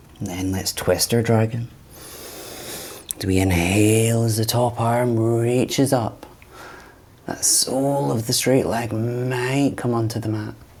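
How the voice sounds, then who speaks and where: A man talks at a fairly slow pace in a calm tone with fairly even intonation. His long, frequent pauses sit over noticeable background noise. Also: medium pitch for a man. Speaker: yoga teacher. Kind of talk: guided yoga class. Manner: calm instructional pacing.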